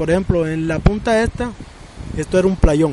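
Noticeable background noise runs beneath a man speaking at a high pitch. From Colombian Caribbean coast, Sincelejo. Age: 40s. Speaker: artisan and fisherman. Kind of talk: interview testimony.

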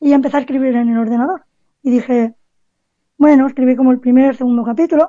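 Fairly even in intonation, the delivery runs at a fairly quick pace. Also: woman. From Cádiz, Andalusia, Spain. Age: 20s. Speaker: author and basketball writer. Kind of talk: radio interview. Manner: halting, repeats words.

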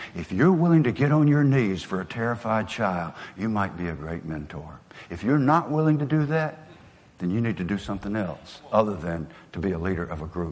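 A man's medium-pitched voice swings very widely in pitch as he talks at a moderate pace. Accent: Southern US. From US South. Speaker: motivational speaker. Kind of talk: motivational speech.

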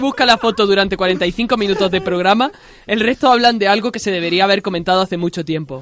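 A woman talks at a fairly quick pace and medium pitch. Her pitch varies in an ordinary way over noticeable background noise. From Andalusia. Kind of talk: scripted narration.

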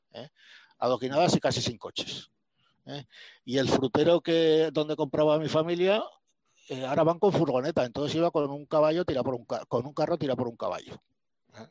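A fairly high-pitched man talks at a fairly quick pace with big swings in loudness, ordinary pitch variation and long, frequent pauses, in a dry, close sound with no echo. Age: 60s. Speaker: physician and medical historian. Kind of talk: talk at a cultural discussion group. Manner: halting.

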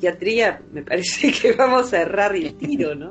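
Music plays in the background as a woman speaks in an Argentine Rioplatense accent. Her pace is fairly slow and her intonation lively. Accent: Rioplatense Argentine Spanish with voseo. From Argentina, Buenos Aires. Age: 50s. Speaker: psychologist. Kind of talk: interview.

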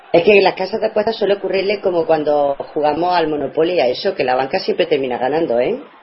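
Against noticeable background noise, a woman with a fairly low pitch talks at a very fast pace with lively intonation and hardly any pauses. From Andalusia, Spain. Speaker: radio co-host providing stats and social media. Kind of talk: casual radio chat.

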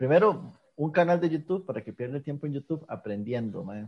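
A man with a Costa Rican accent speaks with lively intonation. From Costa Rica, rural north and south. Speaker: podcast host. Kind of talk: casual chat.

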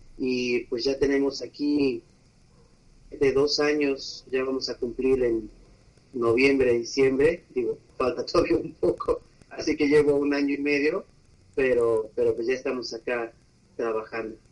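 Fairly even in intonation, a man speaks at a fairly high pitch. His pace is fairly slow, with long, frequent pauses. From Mexico, Aguascalientes. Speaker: physical therapist. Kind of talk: interview. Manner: repetitive, halting.

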